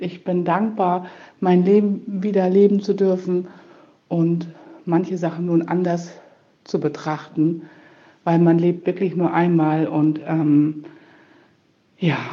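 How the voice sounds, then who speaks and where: The speaker goes at a very slow pace with long, frequent pauses. The intonation stays monotone and flat. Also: woman, fairly low pitch for a woman. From northern Germany, Buchholz in der Nordheide. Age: 50s. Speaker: elderly care nurse, patient. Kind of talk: interview testimony.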